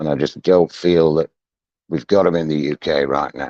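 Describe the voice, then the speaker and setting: A man's very deep, low voice with a northern English accent, dark, mellow tone and ordinary pitch variation, in a dry, close sound with no echo. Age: 60s. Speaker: deck cleaning business owner. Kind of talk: casual chat. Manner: hesitant.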